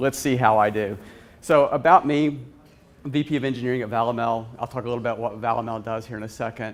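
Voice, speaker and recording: A man with a Southern US accent talks very fast at a medium pitch, keeping his intonation fairly even. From US South. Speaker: conference speaker, VP of engineering. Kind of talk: conference talk. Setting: conference stage with audience.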